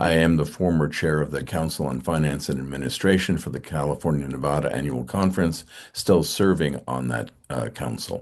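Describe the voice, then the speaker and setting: Very deep and low, a man's voice carries vocal fry and ordinary pitch variation at a fairly quick pace. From New England. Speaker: church finance council member. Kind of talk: online meeting presentation.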